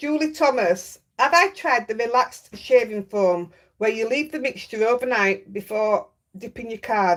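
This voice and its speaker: Lively intonation and big swings in loudness from a woman with a Yorkshire accent, fairly high pitch and a moderate pace. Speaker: craft livestreamer. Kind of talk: casual chat. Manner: chatty.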